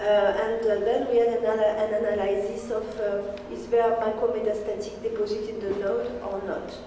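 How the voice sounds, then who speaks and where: A woman talks at a fairly slow pace. Light background noise and audible room echo surround her voice. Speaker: conference presenter. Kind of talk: lecture. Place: hall. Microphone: camera far.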